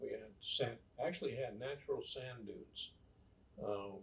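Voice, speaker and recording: This man has a western US accent. His pace is fairly slow. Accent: western American. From US West, rural Nevada. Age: 70s. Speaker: grandfather telling life stories. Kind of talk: casual interview, storytelling.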